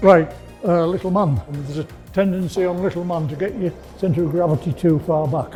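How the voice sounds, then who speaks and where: Music plays in the background as a man speaks at a fairly quick pace. His pitch is high, with ordinary variation. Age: 70s. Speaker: roller skating instructor. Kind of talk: tutorial. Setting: skating studio.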